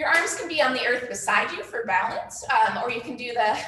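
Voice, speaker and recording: A woman's squeaky, high voice in an upbeat tone, with audible room echo and noticeable background noise. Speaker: fitness instructor. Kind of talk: live online workout class. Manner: upbeat, encouraging.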